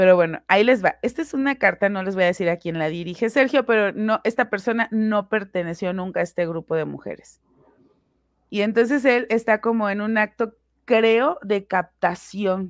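A woman has an ordinary speaking voice, with a medium pitch and ordinary pitch variation at a moderate pace. The background is quiet, and the sound is dry and close with no echo. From Mexico, Puebla. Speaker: investigative commentator. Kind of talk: casual discussion.

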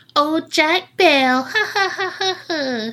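A loud, shrill, put-on character voice that sounds female is pitched extremely high for a woman. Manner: cackling, mocking.

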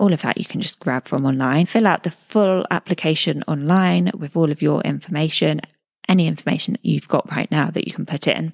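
A woman talks at a fairly quick pace with a very deep, low pitch, ordinary pitch variation and vocal fry, recorded very cleanly with a silent background and a dry, close sound with no echo. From England. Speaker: podcast host, new mother. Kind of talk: casual solo chat. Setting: recording at in-laws' house. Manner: chatty.

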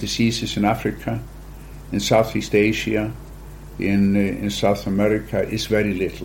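In an Icelandic accent, a man speaks at a moderate pace. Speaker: genetics company founder. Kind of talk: interview.

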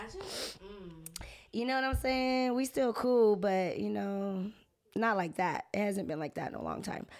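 A woman speaks at a medium pitch in an animated tone, at a fairly slow pace with ordinary pitch variation. Noticeable background noise is present. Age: 30s. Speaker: podcast guest. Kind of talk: casual chat. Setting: studio.

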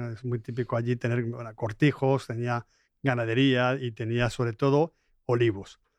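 A man with a Spanish accent talks at a moderate pace and medium pitch in monotone, flat intonation, the sound dry and close with no echo against a quiet background. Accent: Spanish (Spain). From Spain, Madrid. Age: 50s. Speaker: business school director. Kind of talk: interview.

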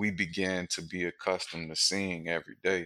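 In an American accent, a man with a very deep, low pitch speaks in a flat monotone at a moderate pace, his tone bright and sharp, on a very clean recording with a silent background. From Wilmington, North Carolina. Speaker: former gang leader, brewery worker. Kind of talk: interview.

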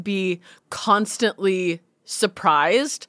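A woman with a plain, everyday voice at medium pitch and ordinary pitch variation, in a very clean recording with a silent background and a dry, close sound with no echo. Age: 30s. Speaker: comedian and musician. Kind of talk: casual chat.

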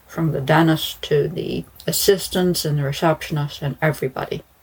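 A woman speaks at a moderate pace in a low pitch. Her voice has a slightly husky edge and fairly even intonation.

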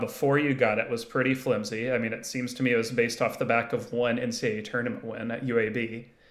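This man speaks at a very fast pace with hardly any pauses. His pitch sits in the medium range. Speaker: college basketball analyst. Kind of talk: casual sports chat.

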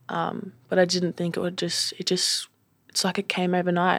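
In a very clean recording with a silent background and a dry, close sound with no echo, a woman with an Australian accent speaks at a very fast pace. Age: 20s. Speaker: boxer. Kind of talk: interview. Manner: halting.

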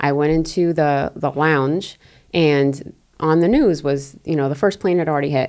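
Speaking with an American accent, a woman uses a very deep, low pitch, very even loudness and fairly even intonation. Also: moderate pace. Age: 40s. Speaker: former CIA officer, podcast co-host. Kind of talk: casual chat.

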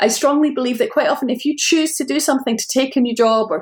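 A woman speaks with a Scottish accent and ordinary pitch variation. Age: 50s. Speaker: novelist. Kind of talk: interview.

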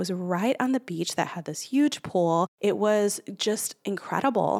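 With a dry, close sound and no echo, a woman speaks at a medium pitch in an animated tone with lively intonation. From Chicago, Puerto Rican family. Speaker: podcast host, brand consultant. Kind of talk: solo podcast monologue.

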